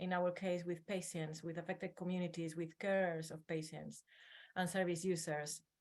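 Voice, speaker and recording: A woman at medium pitch, in a strong Spanish accent, with monotone, flat intonation. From northern Spain. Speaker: academic researcher. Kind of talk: webinar presentation.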